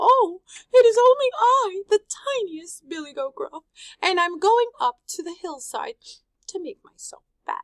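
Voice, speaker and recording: A put-on character voice sits at an extremely high pitch. Long, frequent pauses break up the speech. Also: moderate pace. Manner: meek.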